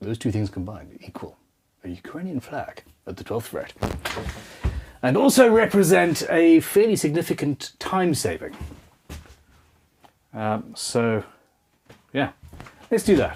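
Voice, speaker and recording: At a fairly slow pace with long, frequent pauses, a man speaks at a fairly high pitch, with very wide pitch swings and big swings in loudness. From Zimbabwe. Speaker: luthier. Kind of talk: live-streamed workshop tutorial. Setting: home workshop.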